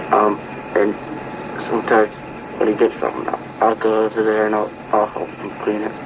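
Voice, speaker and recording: Noticeable background noise runs behind a man whose fairly low voice moves at a moderate pace. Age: 70s. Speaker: retired trapper and farmer. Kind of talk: oral history interview. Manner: halting, with repeated words.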